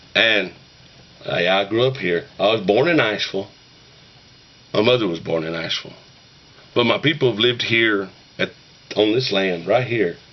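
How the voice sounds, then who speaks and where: Over noticeable background noise, a man with an Appalachian accent and a fairly low pitch talks at a fairly quick pace with lively intonation. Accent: Appalachian mountain dialect. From Western North Carolina, Appalachian mountains. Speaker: YouTuber talking about shape note singing. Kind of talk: casual monologue to camera. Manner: folksy, rambling.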